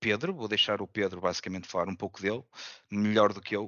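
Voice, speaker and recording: With ordinary pitch variation, the speaker uses an ordinary speaking voice. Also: man. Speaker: user group organizer and moderator. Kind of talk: panel moderation.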